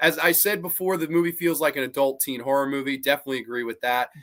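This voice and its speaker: Speaking very fast with an American accent, a man uses a fairly high pitch and ordinary pitch variation. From Massachusetts, Salem. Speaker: horror podcast host. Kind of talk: casual chat, reading live comments. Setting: live stream.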